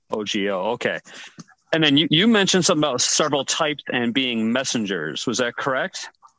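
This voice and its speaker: A man's bright, sharp tone with lively intonation in a dry, close sound with no echo. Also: medium pitch for a man, fairly quick pace. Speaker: roundtable participant. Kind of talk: casual roundtable discussion. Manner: polite.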